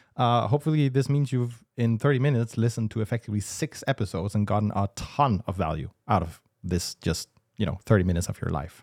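Speaking at a very fast pace with lively intonation, a man with a Danish accent uses a medium pitch, and the sound is dry and close with no echo on a very clean recording with a silent background. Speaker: business podcast co-host. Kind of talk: casual business discussion.

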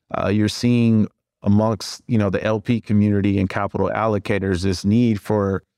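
On a very clean recording with a silent background and a dry, close sound with no echo, a man in an ordinary speaking voice talks at a moderate pace and a fairly low pitch with fairly even intonation. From US Midwest, Cleveland. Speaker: private equity fund co-founder. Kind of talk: podcast interview.

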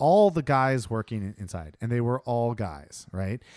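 A man with an American accent speaks at a moderate pace and medium pitch, using a normal speaking voice and lively intonation. The sound is dry and close with no echo, on a very clean recording with a silent background. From Ohio. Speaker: podcast co-host. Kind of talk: casual chat.

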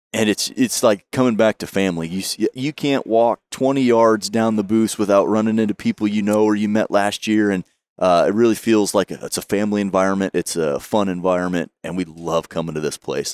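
A man's fairly low voice, a plain, everyday voice, fairly quick with hardly any pauses and ordinary pitch variation, in dry, close sound with no echo. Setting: live at convention.

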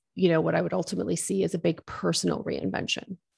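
In a Maritime Canadian accent, a woman speaks over a quiet background. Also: dry, close sound with no echo. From Nova Scotia, eastern Canada. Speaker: business coach and entrepreneur. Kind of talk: interview.

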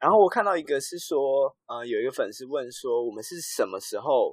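A man speaking at a fairly quick pace. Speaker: podcast host. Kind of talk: casual chat.

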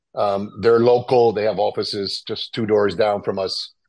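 A man with an American accent and a normal speaking voice, fairly low in pitch, at a moderate pace against a quiet background. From New York City. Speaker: restaurant owner. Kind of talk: interview.

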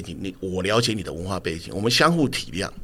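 A man is speaking. His voice has vocal fry. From Taiwan (Tamsui; grew up in Dazhi, Taipei). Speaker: TV drama director. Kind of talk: interview conversation.

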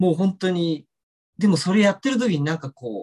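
With a dark, mellow tone, a man with a high-pitched voice talks at a fairly quick pace using lively intonation. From Tokyo, Japan. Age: 40s. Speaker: ballet dancer and choreographer. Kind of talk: interview. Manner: hesitant with many fillers.

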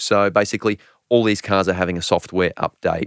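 In a very clean recording with a silent background, a man with an Australian accent speaks at a moderate pace in a very deep, low pitch, his fairly even intonation heard in a dry, close sound with no echo. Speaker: motoring journalist. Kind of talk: casual chat.

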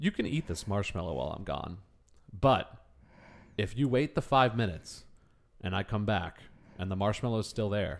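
On a very clean recording with a silent background, a man with a fairly low pitch and vocal fry talks at a moderate pace, using lively intonation and long, frequent pauses. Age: 30s. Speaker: podcast co-host. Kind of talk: casual chat.

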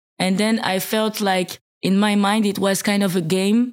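In a French accent, a woman speaks at a medium pitch and a fairly slow pace with monotone, flat intonation. The recording is very clean, with a silent background. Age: 30s. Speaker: rapper. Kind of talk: interview. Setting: in person, Martigny.

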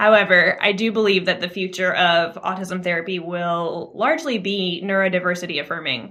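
The delivery moves at a fairly quick pace with hardly any pauses. It is a normal speaking voice with ordinary pitch variation. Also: woman, medium pitch for a woman. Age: 20s. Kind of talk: interview.

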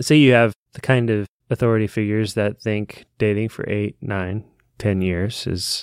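A man with an unremarkable speaking voice talks at a moderate pace, with fairly low pitch and fairly even intonation. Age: 30s. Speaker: book podcast co-host. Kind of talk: casual chat.

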